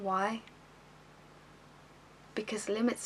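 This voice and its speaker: A monotone, flat voice moves at a fairly slow pace over noticeable background noise. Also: woman. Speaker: actress. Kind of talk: slam poetry performance.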